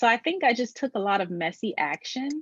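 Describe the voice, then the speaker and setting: This woman talks with an American accent. The sound stays close and dry, without echo. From Maryland, US East Coast. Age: 20s. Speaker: brand strategist and web designer. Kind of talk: podcast interview. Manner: casual, filler-heavy.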